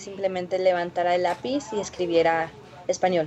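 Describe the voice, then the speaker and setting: At a moderate pace, the voice comes through over noticeable background noise. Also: woman. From Florida, US (Mexican-born). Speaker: social entrepreneur. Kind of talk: interview.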